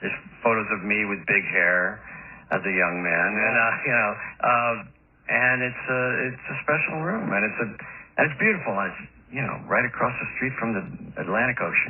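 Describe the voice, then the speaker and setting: A man speaks with an American accent and lively intonation. He leaves long, frequent pauses, and there is noticeable background noise. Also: medium pitch for a man, moderate pace. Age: 60s. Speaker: rock musician and songwriter. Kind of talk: radio interview.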